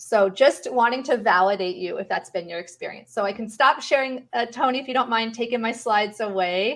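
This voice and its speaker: A woman with an unremarkable speaking voice and a fairly high pitch talks at a fairly quick pace with hardly any pauses, ordinary pitch variation and big swings in loudness. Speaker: panel expert on pain management. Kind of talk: online panel presentation.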